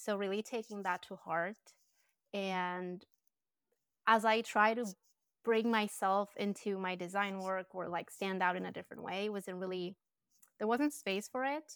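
In a Colombian accent, a woman of medium pitch speaks at a moderate pace with fairly even intonation and long, frequent pauses. The recording is very clean, with a silent background. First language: Spanish. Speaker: branding and design business owner. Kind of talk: casual interview chat.

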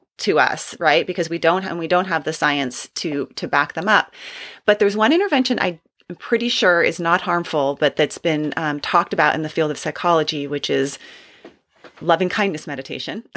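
With an unremarkable speaking voice, a woman talks at a fairly quick pace and fairly low pitch, with ordinary pitch variation, on a very clean recording with a silent background. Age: 40s. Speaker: podcast host, clinical psychologist. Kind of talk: interview.

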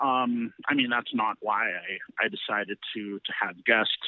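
An unremarkable speaking voice with a Canadian accent moves at a fairly slow pace. The intonation is lively. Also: man. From Canada, Ontario (Guelph). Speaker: rapper and producer. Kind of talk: interview. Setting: remote call.

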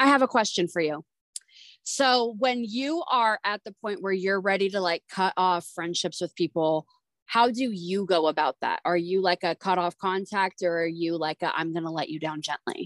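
Speaking at a moderate pace, a woman uses an ordinary speaking voice of medium pitch with ordinary pitch variation, recorded with a dry, close sound and no echo. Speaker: podcast co-host. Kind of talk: casual chat.

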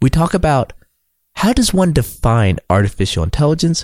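On a very clean recording with a silent background, a man talks at a moderate pace with very wide pitch swings. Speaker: podcast host. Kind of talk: interview.

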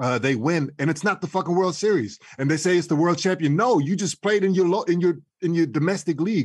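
Against a quiet background, a man with a high pitch talks at a fairly quick pace with ordinary pitch variation, very even loudness and hardly any pauses. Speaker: podcast panelist. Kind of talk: casual chat.

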